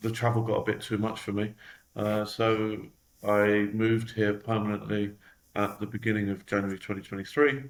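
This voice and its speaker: Speaking in a London accent, a man with a fairly low voice talks at a moderate pace in a monotone, flat intonation. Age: 40s. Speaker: company executive. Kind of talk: interview.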